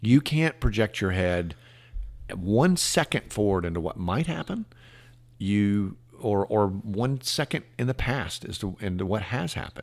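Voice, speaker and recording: In a normal speaking voice with an American accent, a man talks at a fairly slow pace, fairly low in pitch with lively intonation, on a very clean recording with a silent background. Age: 50s. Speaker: car dealer and mayoral candidate. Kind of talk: casual interview.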